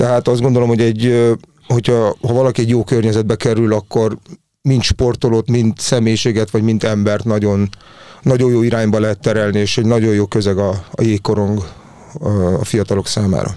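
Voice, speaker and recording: Using a dark, mellow tone at medium pitch, a man talks at a fairly quick pace with fairly even intonation and very even loudness. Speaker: youth national team hockey coach. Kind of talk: panel discussion. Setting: studio. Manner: halting, many fillers.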